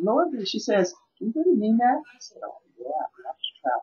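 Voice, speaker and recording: Somewhat breathy, a woman with an American accent speaks with very wide pitch swings. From Milwaukee, Wisconsin, US Midwest. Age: 50s. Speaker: vegan chef and coach. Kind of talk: interview.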